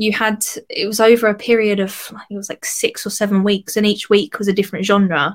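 A woman with an Essex accent speaks at a fairly quick pace. Her voice sits at a medium pitch. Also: fairly even intonation. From Essex, England. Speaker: singer. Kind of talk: casual interview chat.

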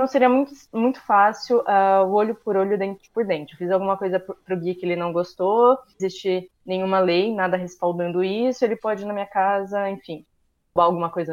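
Her pace is moderate and her pitch sits in the medium range. This woman's pitch rises and falls in an ordinary way. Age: 20s. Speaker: social sciences student. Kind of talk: casual chat.

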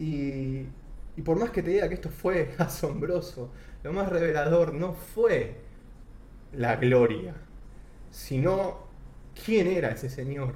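A man's fairly high voice at a very slow pace, full of long, frequent pauses, with audible room echo. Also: ordinary pitch variation. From Argentina. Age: 30s. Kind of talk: testimony.

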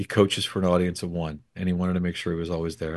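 Over a quiet background, a man speaks at a very fast pace in a very deep, low pitch. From Hawaii. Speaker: author and leadership speaker. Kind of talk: interview.

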